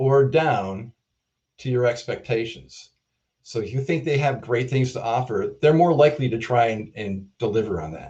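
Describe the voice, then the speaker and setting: A man with a medium-pitched voice, a dark, mellow tone and a somewhat breathy quality speaks at a moderate pace with lively intonation. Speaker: keynote speaker, drug development leader. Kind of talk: keynote talk.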